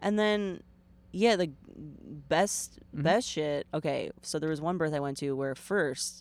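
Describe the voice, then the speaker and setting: A woman's very deep, low voice with ordinary pitch variation, at a fairly slow pace, on a very clean recording with a silent background. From New Jersey, Bergen County. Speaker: comedian and doula. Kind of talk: casual chat. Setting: in a car.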